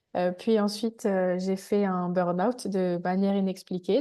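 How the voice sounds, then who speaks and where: Her tone is dark and mellow. This woman speaks very slowly. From Île-de-France. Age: 20s. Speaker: energy therapist. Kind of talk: testimony. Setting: video call.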